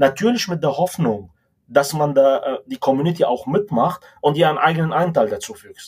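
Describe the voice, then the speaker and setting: A man talks at a moderate pace with lively intonation and big swings in loudness. He has a plain, everyday voice. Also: fairly high pitch for a man. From Lebanon. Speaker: tech executive. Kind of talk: interview.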